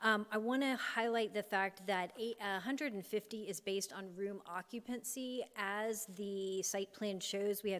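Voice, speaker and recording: An unremarkable speaking voice from a woman, fairly high in pitch, with fairly even intonation. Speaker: applicant's representative. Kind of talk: rebuttal at public hearing.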